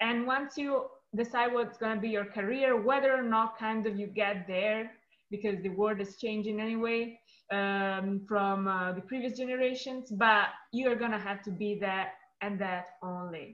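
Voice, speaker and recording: This woman's voice sits fairly high and moves at a moderate pace. Her intonation stays fairly even. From Italy. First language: Italian. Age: 20s. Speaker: artist and activist. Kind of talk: interview.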